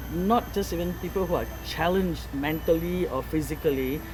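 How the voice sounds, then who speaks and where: Clear background noise and some echo from the room are present. Over them, a woman talks at a medium tempo. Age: 60s. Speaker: farmer. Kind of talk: interview. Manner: animated.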